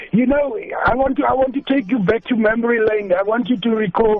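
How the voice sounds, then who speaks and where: Against noticeable background noise, a man with an extremely high pitch talks at a fairly quick pace with fairly even intonation. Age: 60s. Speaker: caller. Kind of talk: phone-in chat.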